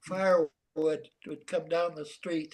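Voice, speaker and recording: This man has an American accent and a high pitch. He speaks at a fairly slow pace. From Santa Fe, New Mexico. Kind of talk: interview answer. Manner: hesitant, reminiscing.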